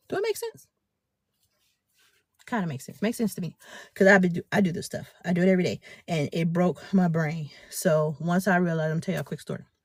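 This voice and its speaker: Animated and somewhat breathy, a woman speaks in a fairly low pitch at a very fast pace, broken by long, frequent pauses. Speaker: business and faith mentor. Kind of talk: live stream talk.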